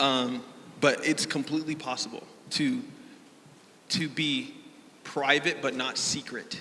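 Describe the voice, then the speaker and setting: Over noticeable background noise, a man talks fairly slowly in a fairly high voice. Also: ordinary pitch variation. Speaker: panelist, content creator. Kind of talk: panel discussion. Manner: loud.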